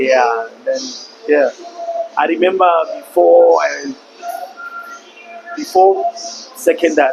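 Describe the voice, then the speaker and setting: In a Lesotho accent, a man speaks at a very slow pace. Long, frequent pauses break his speech amid noticeable background noise. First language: Sesotho. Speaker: podcast guest. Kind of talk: interview.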